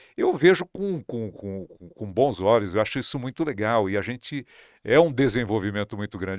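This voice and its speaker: In a very clean recording with a silent background and a dry, close sound with no echo, a man speaks at a fairly quick pace with very wide pitch swings. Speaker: radio and TV broadcaster, news presenter. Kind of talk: interview answer.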